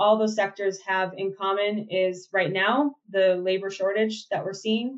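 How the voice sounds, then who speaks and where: A normal speaking voice with an American accent keeps a fairly even intonation. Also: woman. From Minnesota (Minneapolis and Mankato). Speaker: state agriculture official. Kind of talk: podcast interview.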